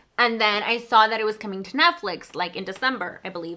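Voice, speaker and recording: The speaker has a Spanish accent and a bright, sharp tone, moving at a fairly quick pace with ordinary pitch variation. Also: woman. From Mexico. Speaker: book vlogger. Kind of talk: casual chat.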